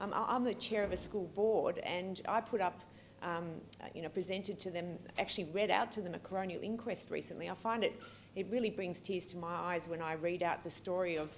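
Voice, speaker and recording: With an Australian accent, a woman talks at a medium pitch, her intonation fairly even. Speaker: pediatric allergist and researcher. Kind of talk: keynote lecture. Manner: fast; hesitant, many fillers.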